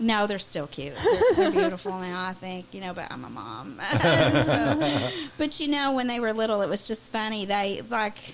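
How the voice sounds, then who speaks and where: A woman with a Southern US accent talks at a moderate pace in a medium pitch, with very wide pitch swings and big swings in loudness. Noticeable background noise runs underneath. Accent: Southern twang. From Kentucky. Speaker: singer-songwriter. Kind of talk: radio interview. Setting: studio.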